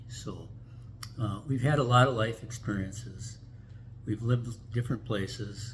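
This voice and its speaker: A man with an Upper Midwest accent talks at a fairly slow pace, his medium-pitched voice showing vocal fry. The room echo is audible. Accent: Upper Midwest American. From US Midwest, Minneapolis. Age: 80s+. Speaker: vlogger. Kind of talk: casual chat. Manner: halting.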